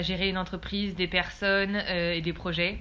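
The woman's delivery is fairly slow. Her intonation stays flat and monotone. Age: 20s. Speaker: business student. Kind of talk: casual interview.

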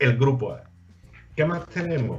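In a somewhat breathy voice, a man talks at a moderate pace. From Andalusia, Spain. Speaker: basketball radio host. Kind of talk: sports talk show. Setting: studio with remote guests via Skype.

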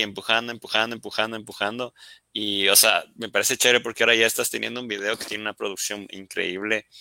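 On a very clean recording with a silent background, a man talks very fast in a bright, sharp tone with monotone, flat intonation. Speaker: live stream host. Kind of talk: casual interview. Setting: live stream on social media.

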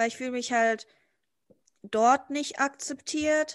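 Over a quiet background, a woman talks in a high voice with fairly even intonation. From Germany. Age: 20s. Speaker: guest, student-age friend. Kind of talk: casual chat.

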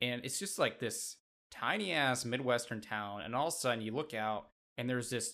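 A man with an unremarkable speaking voice, pitched at a medium level and moving at a moderate pace with ordinary pitch variation. The recording is very clean, with a silent background. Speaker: podcast co-host, Yankees fan. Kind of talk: casual sports podcast chat.

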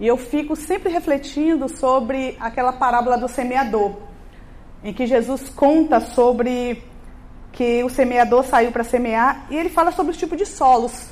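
High female voice, its pitch varying in an ordinary way. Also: moderate pace. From Bahia, Brazil. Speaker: missionary preacher. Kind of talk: sermon.

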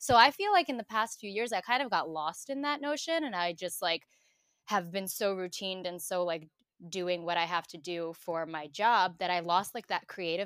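A woman with a New York accent talks at a fairly quick pace in a very clean recording with a silent background and a dry, close sound with no echo. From Brooklyn, New York (Bensonhurst). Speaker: digital marketer. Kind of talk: casual chat.

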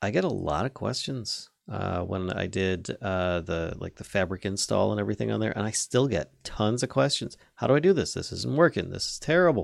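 The recording is very clean, with a silent background, and a man talks at a moderate pace in a fairly low pitch. His voice has vocal fry and very wide pitch swings. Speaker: podcast co-host. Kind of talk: casual podcast chat.

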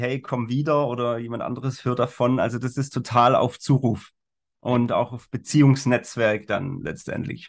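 Against a quiet background, a man with an ordinary speaking voice talks at a medium pitch and moderate pace, his intonation fairly even. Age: 40s. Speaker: life coach and corporate trainer. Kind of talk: casual interview. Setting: video call.

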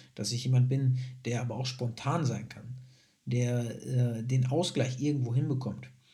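A man's medium-pitched, somewhat breathy voice with a dark, mellow tone, monotone and flat, at a fairly slow pace, with audible room echo. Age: 20s. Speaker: podcast host and student. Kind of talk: personal monologue.

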